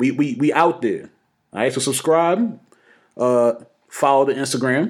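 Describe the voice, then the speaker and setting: A man with a fairly high voice speaks at a fairly slow pace in an animated tone, his pitch varying in an ordinary way. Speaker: podcast host. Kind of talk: casual banter podcast chat. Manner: animated, joking.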